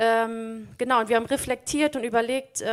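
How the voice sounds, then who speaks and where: On a very clean recording with a silent background, a woman speaks at a fairly high pitch and moderate pace. She has an unremarkable speaking voice with fairly even intonation. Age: 30s. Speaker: teacher and lay preacher. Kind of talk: sermon.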